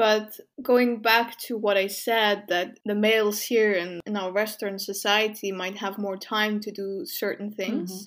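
A plain, everyday voice speaks at a fairly slow pace. There are hardly any pauses. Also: woman, medium pitch for a woman, fairly even intonation. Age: 20s. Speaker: podcast co-host. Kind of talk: casual chat.

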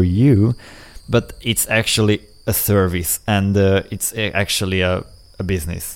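A man speaks in a Hungarian accent. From Hungary. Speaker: podcast co-host.

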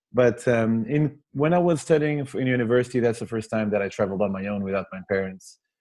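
A man speaks in a dark, mellow tone with a Portuguese accent. The background is quiet. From Portugal, near Porto. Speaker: travel author and podcast host. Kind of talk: interview. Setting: video call.

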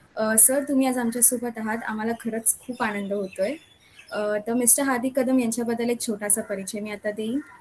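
Fairly even intonation from a woman with a fairly high voice, with music in the background. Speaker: pharmacy student interviewer. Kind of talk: interview.

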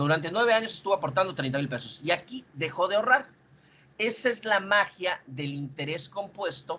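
A man speaks at a moderate pace in a bright, sharp tone, his intonation lively. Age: 40s. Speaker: insurance sales manager. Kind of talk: sales training presentation. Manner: halting.

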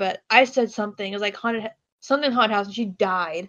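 At a very fast pace, a woman talks in a fairly high pitch with ordinary pitch variation. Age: 20s. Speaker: student and grocery worker. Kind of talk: casual chat.

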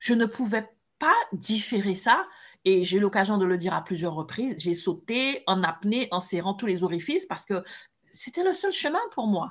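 In a very clean recording with a silent background, a woman with an ordinary speaking voice talks at a moderate pace and medium pitch, with ordinary pitch variation. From French Caribbean islands. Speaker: podcast co-host, coach. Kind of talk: casual chat.

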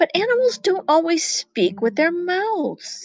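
Speaking at a moderate pace, a woman uses a put-on character voice with an extremely high pitch. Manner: knowing, gently corrective.

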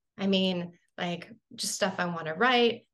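This woman has a calm tone, vocal fry, and fairly even intonation. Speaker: psycho-spiritual therapist and intuitive medium. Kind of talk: casual interview chat.

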